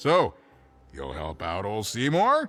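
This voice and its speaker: A man puts on a character voice at a medium pitch. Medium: video game. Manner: wry, laughing.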